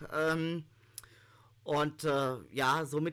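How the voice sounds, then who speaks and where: A man's bright, sharp voice on a very clean recording with a silent background. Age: 30s. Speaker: law student with visual impairment. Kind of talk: interview.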